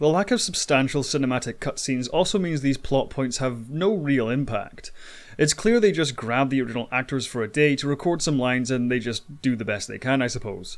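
Here is a man with a normal speaking voice, medium pitch and ordinary pitch variation. He talks at a fairly quick pace on a very clean recording with a silent background. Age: 20s. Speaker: video game commentary YouTuber. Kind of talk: scripted narration.

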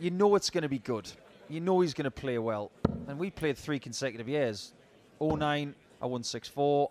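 Recorded dry and close with no echo, a man with a fairly high pitch and lively intonation speaks at a moderate pace, leaving long, frequent pauses. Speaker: darts pundit. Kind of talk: live sports commentary. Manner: analytical, conversational.

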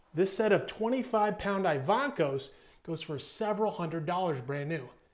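In a quiet background, a man's speech moves at a moderate pace. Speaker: fitness channel host. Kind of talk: casual vlog chat. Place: gym. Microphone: lapel.

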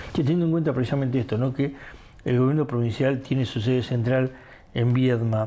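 A man with a medium pitch and a dark, mellow tone talks at a fairly quick pace. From Argentina. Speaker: local news journalist. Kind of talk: interview. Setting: studio. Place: studio. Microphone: lapel.

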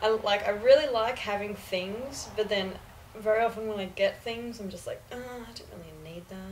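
With an Australian accent, a woman talks at a moderate pace in a fairly high voice, her intonation fairly even but her loudness swinging widely, over light background noise. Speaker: university student; guest. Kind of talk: casual chat. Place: home room. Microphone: camera far.

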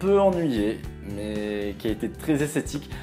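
Clear music plays in the background as a man speaks at a moderate pace with very wide pitch swings. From Bordeaux, France; France. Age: 20s. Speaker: TV series reviewer YouTuber. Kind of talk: casual talk to camera. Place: home room.

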